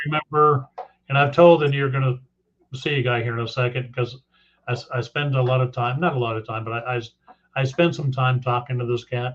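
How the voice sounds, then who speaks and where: A man speaks at a medium pitch, somewhat breathy. His pace is fairly quick and his intonation fairly even. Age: 60s. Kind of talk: casual chat.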